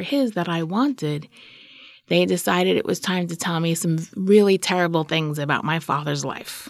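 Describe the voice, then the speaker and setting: This woman has a normal speaking voice with an American accent, a fairly low pitch and ordinary pitch variation, talking at a moderate pace on a very clean recording with a silent background. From New York, Queens. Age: 40s. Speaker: storyteller. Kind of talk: personal story interview.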